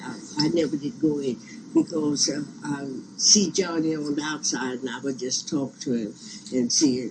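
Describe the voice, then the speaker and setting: A medium-pitched man with an American accent, against noticeable background noise. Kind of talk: oral history interview.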